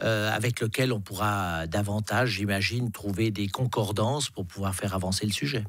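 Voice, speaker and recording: Hardly pausing, a man with fairly low pitch keeps a moderate pace and fairly even intonation. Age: 60s. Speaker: politician. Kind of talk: radio interview. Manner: hesitant, many repetitions.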